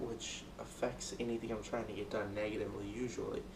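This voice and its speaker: There is audible room echo and noticeable background noise as a man talks at a fairly quick pace. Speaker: student. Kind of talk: speech rehearsal. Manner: loud.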